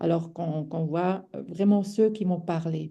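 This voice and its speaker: A woman talks with ordinary pitch variation. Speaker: webinar organiser. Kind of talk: webinar moderation. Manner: hesitant.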